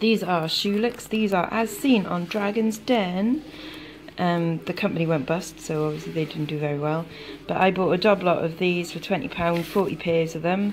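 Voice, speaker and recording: This is an unremarkable speaking voice with ordinary pitch variation. Light background noise can be heard. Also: woman, fairly low pitch for a woman, moderate pace. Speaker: online reseller. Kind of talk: casual vlog chat. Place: kitchen. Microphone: phone near.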